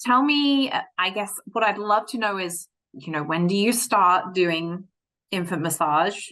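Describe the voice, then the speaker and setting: A bright, sharp tone with an English accent at a fairly slow pace. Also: woman, medium pitch for a woman, lively intonation. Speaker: interim podcast host. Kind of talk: podcast interview. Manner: hesitant, many fillers.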